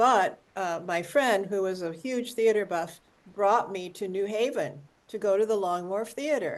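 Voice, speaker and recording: Over a quiet background, a woman with an unremarkable speaking voice and an American accent speaks at a fairly slow pace, her medium pitch showing ordinary variation. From US Midwest. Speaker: community member at online talk. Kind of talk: audience comment in video call. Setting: video call.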